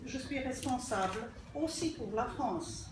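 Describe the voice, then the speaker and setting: A woman with a Polish accent speaks very slowly at a high pitch with ordinary pitch variation, amid audible room echo and noticeable background noise. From Poland. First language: Polish (speaking French). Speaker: politician. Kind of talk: formal acceptance speech. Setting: ceremony at an embassy. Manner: reading from a prepared text.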